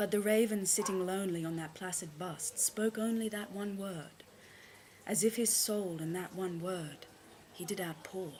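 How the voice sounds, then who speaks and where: Over noticeable background noise, a woman talks at a moderate pace. Her pitch is medium and her intonation fairly even. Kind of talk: poetry reading.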